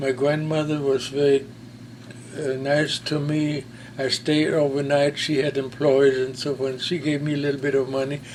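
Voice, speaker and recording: Over noticeable background noise, a fairly high-pitched man with a German accent speaks at a moderate pace in monotone, flat intonation. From Germany, Berlin. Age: 90s. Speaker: war veteran. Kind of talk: testimony. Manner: halting.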